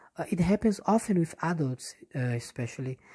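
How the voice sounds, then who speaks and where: A woman's somewhat breathy, fairly low voice with a dark, mellow tone and a Portuguese accent, at a moderate pace with very wide pitch swings, in a dry, close sound without echo. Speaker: English teacher. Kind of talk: casual monologue. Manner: halting, many fillers and restarts.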